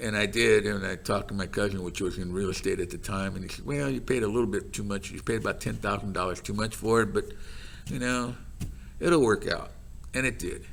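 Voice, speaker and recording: A man with an American accent speaks at a fairly quick pace. His fairly low voice carries vocal fry and ordinary pitch variation. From Los Gatos, California. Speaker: retired carpet business owner. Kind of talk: oral history interview answer.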